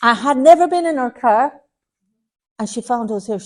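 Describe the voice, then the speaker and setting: A woman with an Irish accent, fairly quick pace and lively intonation. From Ireland. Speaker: medium. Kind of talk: platform mediumship demonstration. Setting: spiritualist centre with audience.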